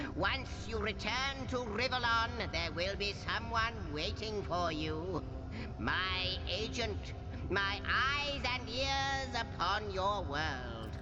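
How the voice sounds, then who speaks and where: A man's put-on character voice at a very slow pace, over loud background noise. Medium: game stream. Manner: grandiloquent, formal.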